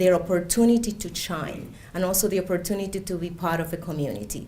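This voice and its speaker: A woman speaks at a moderate pace with a Spanish accent, her voice medium in pitch and somewhat breathy. Room echo is audible. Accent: Spanish accent, identifiable. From Cuba. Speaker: immigrant speaker, education worker. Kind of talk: personal testimony speech.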